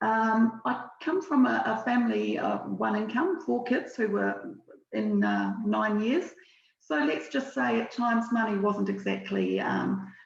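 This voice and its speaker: This woman speaks with a New Zealand accent at a fairly slow pace. Her loudness stays very even. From southern New Zealand. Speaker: financial services relationship manager. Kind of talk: webinar presentation. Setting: video call webinar. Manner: hesitant, many fillers.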